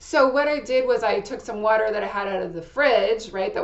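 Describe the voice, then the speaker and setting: A woman speaks with ordinary pitch variation. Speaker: astrology channel creator giving personal product review. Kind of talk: casual personal review monologue. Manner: loud; hesitant, with fillers and restarts.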